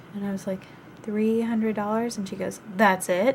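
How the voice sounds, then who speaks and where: The voice is somewhat breathy, with monotone, flat intonation. Its pace is moderate. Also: woman. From US South. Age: 20s. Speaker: vlogger, college student. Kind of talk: casual vlog storytelling. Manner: chatty, many filler ums.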